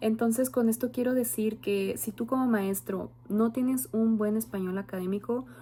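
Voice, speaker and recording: A woman talks in a somewhat breathy voice with a dark, mellow tone. Her intonation is lively. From Mexico. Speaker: student, future bilingual teacher. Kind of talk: oral class presentation. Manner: some fillers and hesitations.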